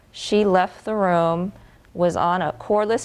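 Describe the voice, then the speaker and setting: A woman's medium-pitched, flat monotone at a fairly slow pace, in a very clean recording with a silent background. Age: 30s. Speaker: malpractice victim. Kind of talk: interview testimony. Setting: studio.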